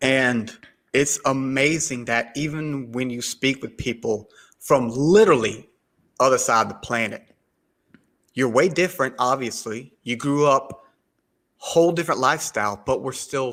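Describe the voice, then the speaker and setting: With a Southern US accent, a man speaks at a moderate pace. His pitch is medium, with ordinary variation. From US South, South Carolina. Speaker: podcaster. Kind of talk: podcast interview. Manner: halting.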